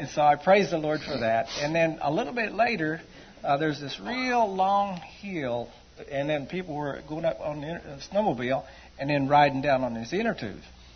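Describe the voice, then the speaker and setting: A man with a normal speaking voice, fairly high in pitch, at a moderate pace. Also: lively intonation. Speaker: church member giving testimony. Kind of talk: testimony. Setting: church.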